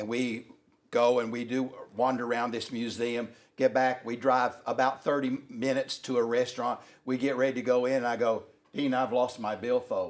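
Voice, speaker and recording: Speaking with a Southern US accent, a man uses a medium pitch. His intonation is monotone and flat, at a moderate pace. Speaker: workshop co-presenter. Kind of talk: anecdotal storytelling.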